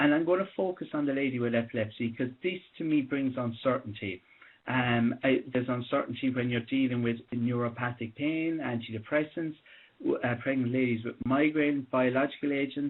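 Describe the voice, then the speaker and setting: Speaking with an Irish accent at a moderate pace, a man uses a medium pitch with ordinary variation. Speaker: doctor. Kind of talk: conference presentation. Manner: halting, many restarts; loud.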